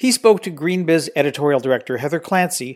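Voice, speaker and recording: In a very clean recording with a silent background, a man speaks at a fairly quick pace with lively intonation and a plain, everyday voice. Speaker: podcast host. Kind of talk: scripted intro and outro.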